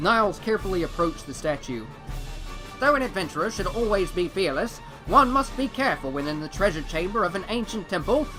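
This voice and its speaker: A man with a high pitch talks very fast in a raised, projected voice with very wide pitch swings. Music plays in the background. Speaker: voice actor. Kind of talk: dramatic story narration.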